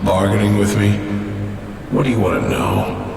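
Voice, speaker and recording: A man performs a put-on character voice at a moderate pace. Strong echo and loud background noise fill the recording. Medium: virtual streamer. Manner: curt, stern.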